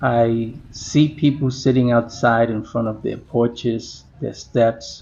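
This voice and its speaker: This man has a medium-pitched voice. He talks at a very slow pace with fairly even intonation. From New York, the Bronx (born Puerto Rico). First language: Spanish. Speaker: vlogger. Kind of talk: reflective monologue.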